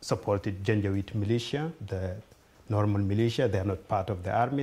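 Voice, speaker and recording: A man's fairly low, somewhat breathy voice with a dark, mellow tone and ordinary pitch variation. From Sudan, Darfur. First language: Fur or Arabic. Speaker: refugee speaker. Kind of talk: talk to an audience. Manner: halting.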